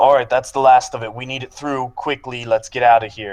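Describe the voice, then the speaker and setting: Using a booming, put-on character voice, a man talks at a fairly quick pace and medium pitch, his intonation monotone and flat while his loudness swings widely. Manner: hurried, gruff.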